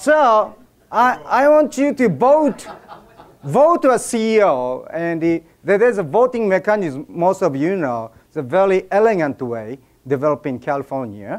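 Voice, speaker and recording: Speaking at a moderate pace, a man with a high voice moves through very wide pitch swings. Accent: Japanese. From Japan. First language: Japanese. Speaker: speaker at an event. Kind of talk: speech to an audience. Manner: halting.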